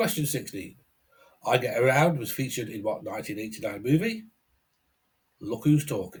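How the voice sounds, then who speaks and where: A man with a British accent, medium-pitched and somewhat breathy, with very wide pitch swings and long, frequent pauses. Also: moderate pace. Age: 60s. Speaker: quiz host and musician. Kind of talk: reading quiz questions.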